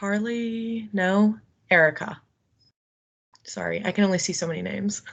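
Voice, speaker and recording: With long, frequent pauses, a woman speaks at a medium pitch with fairly even intonation. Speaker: tobacco cessation counselor. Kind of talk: meeting update. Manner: fast.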